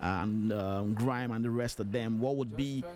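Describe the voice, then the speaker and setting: Speaking at a moderate pace and medium pitch, a man with a Nigerian accent keeps a fairly even intonation amid audible room echo. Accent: Nigerian accent, unchanged. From Nigeria (Lagos, Yoruba). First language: Yoruba. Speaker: radio host. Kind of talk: radio interview.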